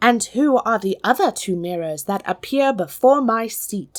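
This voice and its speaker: At a moderate pace, a woman speaks in a put-on character voice that sits fairly high in pitch. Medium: read story. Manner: dramatic, imperious.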